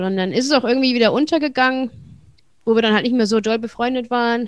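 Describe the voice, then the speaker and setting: Against a quiet background, a woman talks fairly quickly at a fairly high pitch. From Germany, Wuppertal. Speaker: stand-up comedian. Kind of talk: casual interview.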